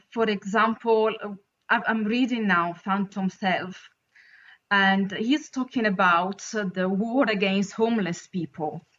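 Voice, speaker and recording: A woman speaks very slowly in an Italian accent, her pitch medium. Her intonation stays fairly even. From Italy. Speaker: caller. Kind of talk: casual chat. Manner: halting.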